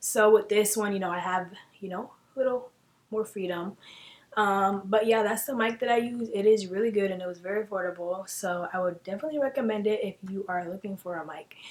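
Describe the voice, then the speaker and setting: A soft-spoken woman at medium pitch, fairly quick, with ordinary pitch variation and big swings in loudness. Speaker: beauty YouTuber. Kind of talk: tutorial. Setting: home filming room. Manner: casual, filler-heavy.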